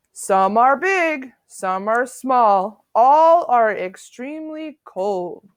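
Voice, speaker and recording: A woman puts on a character voice, pitched high and moving very slowly. Her pitch swings very widely. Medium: read story. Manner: long-winded, lecturing.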